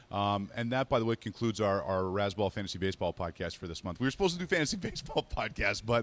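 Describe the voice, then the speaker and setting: A man's fairly low voice at a very fast pace, lively in intonation, with hardly any pauses, in a dry, close sound with no echo. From Quebec, Montreal. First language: not English, not French. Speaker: fantasy sports radio host. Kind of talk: casual chat. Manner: energetic.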